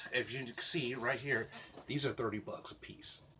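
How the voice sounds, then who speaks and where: The man keeps a moderate pace and ordinary pitch variation over noticeable background noise. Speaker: vlogger. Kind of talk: casual vlog monologue. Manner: halting, self-described stuttering.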